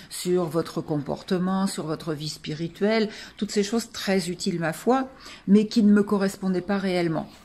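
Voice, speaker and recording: Her voice dark and mellow, a woman speaks at a fairly slow pace and a medium pitch with ordinary pitch variation. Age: 60s. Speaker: client giving testimonial. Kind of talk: testimony. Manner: hesitant, many fillers.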